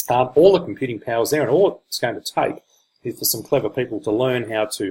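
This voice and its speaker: With an Australian accent, a man speaks in a somewhat breathy voice. His intonation is lively. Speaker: online marketer / crypto reviewer. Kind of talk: product review presentation. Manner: hesitant, many fillers.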